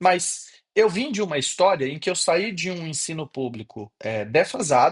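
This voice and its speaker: A high-pitched male voice at a moderate speed, its pitch swinging very widely. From Brazil, interior of Bahia (Gandu). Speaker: professor. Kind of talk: online class. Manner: casual.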